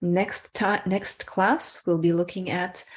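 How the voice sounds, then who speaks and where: A woman with an ordinary speaking voice talks at a fairly low pitch and a fairly slow pace. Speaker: spiritual workshop teacher. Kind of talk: online workshop teaching; guided breathing meditation.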